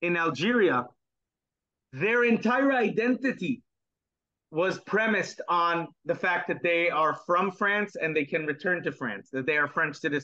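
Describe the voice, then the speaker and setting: A man's high-pitched voice, bright and sharp in tone, at a fairly slow pace with lively intonation against a quiet background. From Israel. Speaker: historian; guest. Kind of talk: interview. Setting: video call. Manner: halting. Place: home room. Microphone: video call.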